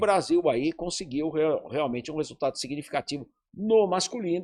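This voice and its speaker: The man's voice is high-pitched, with lively intonation at a moderate pace. The sound is dry and close, with no echo. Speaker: sports broadcaster, journalist. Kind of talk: interview answer.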